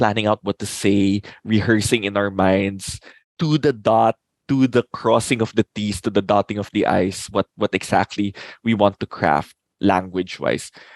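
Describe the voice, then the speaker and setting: At a fairly slow pace, a man talks in a fairly low pitch, his sound dry and close with no echo. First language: not English. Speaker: lawyer and improviser. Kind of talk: casual chat.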